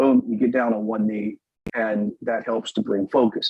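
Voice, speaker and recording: A man with an ordinary speaking voice talks at a moderate pace in a medium pitch with ordinary pitch variation. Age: 50s. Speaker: Torah teacher. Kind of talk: lecture. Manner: casual, with fillers.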